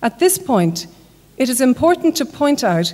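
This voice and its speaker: A woman talks in an Irish accent. Her pace is fairly slow. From Ireland. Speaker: conference speaker. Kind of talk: lecture.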